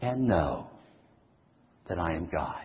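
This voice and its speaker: Somewhat breathy male voice at a medium pitch, with audible room echo. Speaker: pastor. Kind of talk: sermon.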